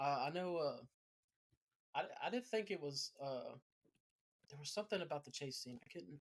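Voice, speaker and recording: Speaking at a moderate pace, a man with a fairly high pitch makes very wide pitch swings and takes long, frequent pauses. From US South. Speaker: podcast host. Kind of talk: casual chat. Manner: halting.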